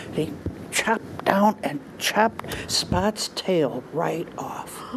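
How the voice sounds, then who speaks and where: A woman with lively intonation speaks at a very slow pace while noticeable background noise carries on behind her. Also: fairly low pitch for a woman. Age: 80s+. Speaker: storyteller. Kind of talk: storytelling.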